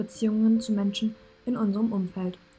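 A woman's fairly high pitch at a fairly quick pace, with fairly even intonation and music in the background. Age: 20s. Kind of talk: read intro text on mental health.

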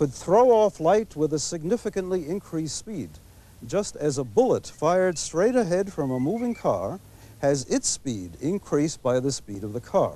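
A man's high-pitched voice with a dark, mellow tone, very wide pitch swings and a fairly slow pace, recorded dry with no echo. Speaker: TV presenter. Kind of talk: lecture. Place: garden. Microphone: lapel.

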